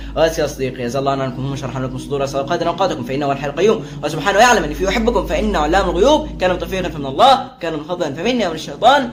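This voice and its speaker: Speaking very fast with hardly any pauses, a man uses lively intonation. Audible room echo and noticeable background noise fill the recording. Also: fairly high pitch for a man. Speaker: religious YouTuber. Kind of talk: casual religious explainer. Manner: casual with many filler sounds.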